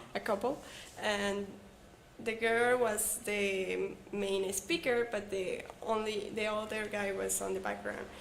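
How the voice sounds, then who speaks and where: A woman speaks very slowly with a Mexican accent. Room echo can be heard. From Mexico. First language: Spanish. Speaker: English learner, former call center agent. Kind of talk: casual chat, English practice conversation. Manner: halting.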